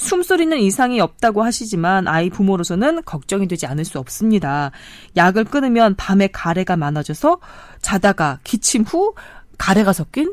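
A woman speaks at a medium pitch and a moderate pace with very wide pitch swings. The recording is very clean, with a silent background. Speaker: radio announcer host. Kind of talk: reading listener letter. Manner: formal.

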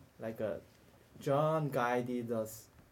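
This man has a Korean accent and a medium pitch. His intonation stays fairly even. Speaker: study group leader and podcast host. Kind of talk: casual group discussion. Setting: recorded live in a lounge. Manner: talkative, laughs often.

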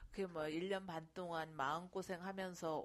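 A woman's fairly low voice at a very slow pace, with fairly even intonation. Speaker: mother and amateur real estate investor. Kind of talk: personal testimony.

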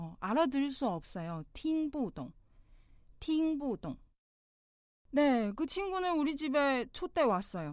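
A very slow delivery with a Mandarin Chinese accent, very wide pitch swings and long, frequent pauses. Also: woman, high pitch for a woman. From China. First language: Mandarin Chinese (speaking Korean). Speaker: language teacher. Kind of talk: tutorial.

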